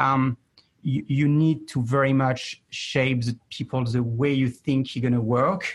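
A man with a French accent speaks at medium pitch in a somewhat breathy voice. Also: fairly even intonation, fairly slow pace, very even loudness. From France. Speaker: chief marketing officer. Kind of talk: interview.

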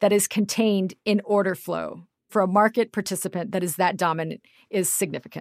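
A woman speaks in an ordinary speaking voice with an American accent, medium in pitch and at a fairly quick pace. The sound is dry and close, with no echo. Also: very clean recording, silent background. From US Midwest, Kansas. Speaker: finance journalist and podcast co-host. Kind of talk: casual interview chat.

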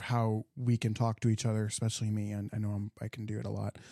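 A man with an American accent speaks at a very fast pace in a playful tone, his voice dark and mellow with monotone, flat intonation, on a very clean recording with a silent background that sounds dry and close with no echo. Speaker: podcast host. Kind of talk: casual chat. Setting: studio. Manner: joking, playful.

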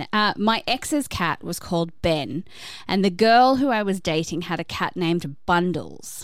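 A woman with an Australian accent and medium pitch, in a very clean recording with a silent background. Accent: Australian, often mistaken for British abroad. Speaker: podcast co-host. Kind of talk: casual chat, reading listener stories.

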